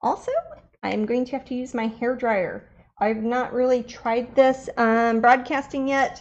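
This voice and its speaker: Fairly slow, fairly even speech in a Midwestern US accent. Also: woman, high pitch for a woman. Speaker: artist, painter. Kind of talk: live painting stream chat. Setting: live broadcast at home studio. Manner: casual, many fillers.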